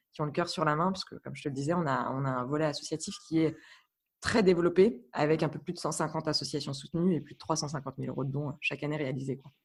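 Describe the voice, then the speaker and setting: Her pitch very deep and low, a woman talks at a very fast pace with fairly even intonation and big swings in loudness, in a very clean recording with a silent background. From France, Burgundy. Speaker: guest professional. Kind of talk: podcast interview. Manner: hesitant, many fillers.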